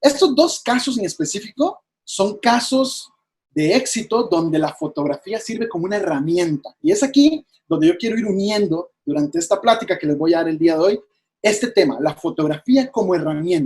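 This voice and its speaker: At a moderate pace, a man speaks with a high pitch and very wide pitch swings. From Costa Rica. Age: 20s. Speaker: wildlife photographer. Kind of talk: presentation talk.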